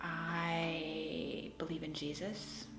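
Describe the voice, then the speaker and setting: Music plays behind a woman whose voice sits fairly low. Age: 40s. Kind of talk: documentary interview answer.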